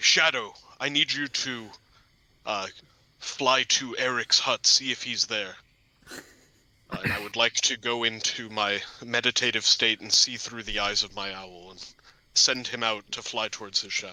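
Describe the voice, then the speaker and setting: A man with a medium pitch uses a put-on character voice. He keeps a moderate pace with long, frequent pauses. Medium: actual play.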